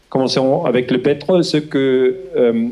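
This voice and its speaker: Speaking fairly slowly with a Swiss German accent, a man uses ordinary pitch variation. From Switzerland, German-speaking. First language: Swiss German (speaking French). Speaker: historian. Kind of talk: lecture. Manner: slow, halting with hesitations.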